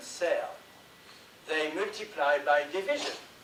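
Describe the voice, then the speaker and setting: At a fairly slow pace, a man speaks with ordinary pitch variation amid noticeable background noise and audible room echo. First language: not English. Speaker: conference presenter. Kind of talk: presentation.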